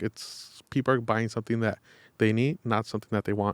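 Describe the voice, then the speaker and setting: A man's plain, everyday voice with an American accent, medium in pitch and fairly even in intonation, at a fairly quick pace, in a dry, close sound with no echo on a very clean recording with a silent background. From Los Angeles, East Hollywood. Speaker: real estate and mortgage salesman. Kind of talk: podcast interview.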